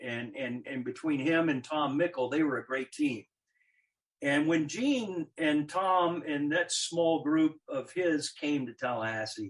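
At a fairly slow pace, a man talks in an unremarkable speaking voice. His pitch is fairly high, with ordinary pitch variation. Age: 60s. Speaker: former college athletics administrator. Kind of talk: casual interview. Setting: video call.

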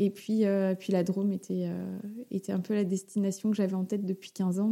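A woman's dark, mellow voice at a medium pitch, monotone and flat in intonation, at a moderate pace. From Paris region, France. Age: 30s. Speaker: mother sharing her pregnancy story. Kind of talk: interview testimony.

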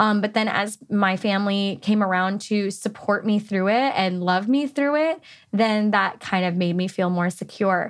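Here is an unremarkable speaking voice from a woman with an American accent, at medium pitch with ordinary pitch variation. She talks at a moderate pace on a very clean recording with a silent background. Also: very even loudness. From California. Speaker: podcast host. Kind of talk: casual chat.

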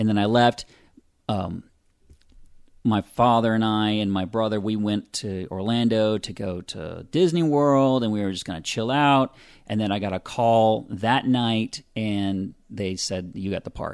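A man with an American accent, fairly low-pitched, at a fairly slow pace with ordinary pitch variation, on a very clean recording with a silent background. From US South, Pensacola, Florida. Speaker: audio drama writer-director and actor. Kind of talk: casual interview. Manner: halting.

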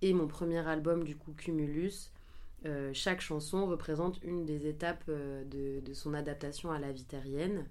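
A woman speaks with a very deep, low pitch and fairly even intonation. Audible room echo surrounds her voice. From western France (Angers). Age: 20s. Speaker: singer. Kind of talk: interview. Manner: hesitant, many fillers.

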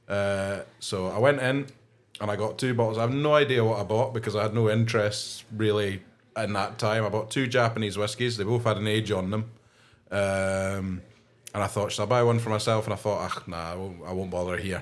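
A man speaks with a Scottish accent at a fairly quick pace. His pitch is fairly low and his intonation fairly even. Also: very clean recording, silent background. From Scotland. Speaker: podcast co-host, whisky fan. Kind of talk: casual chat. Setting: pub back room.

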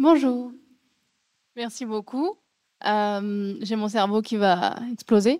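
At a very slow pace, a woman speaks with long, frequent pauses in a fairly high, dark, mellow voice with ordinary pitch variation. The sound is dry and close with no echo. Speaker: panel moderator. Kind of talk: panel discussion. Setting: venue with live audience. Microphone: microphone held very close to mouth.

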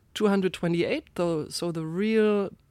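A woman's medium-pitched voice with a German accent, on a very clean recording with a silent background. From Germany, Rheinhessen (Ingelheim). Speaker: winemaker. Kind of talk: interview.

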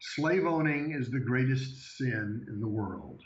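A man uses a booming put-on character voice at medium pitch. He goes at a fairly slow pace. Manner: declaring.

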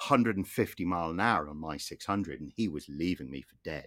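A man with an English accent, a very deep, low pitch, lively intonation and a moderate pace. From England. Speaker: motoring historian, podcast co-host. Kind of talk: casual chat.

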